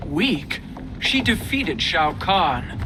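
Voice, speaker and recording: A put-on character voice at a middle pitch comes through loud background noise. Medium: video game.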